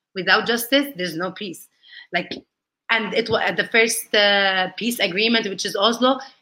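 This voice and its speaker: Speaking in an Arabic accent, a woman with a medium pitch and a bright, sharp tone keeps a moderate pace. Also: ordinary pitch variation. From Palestine, raised across several countries. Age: 30s. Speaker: lawyer and political activist. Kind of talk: interview.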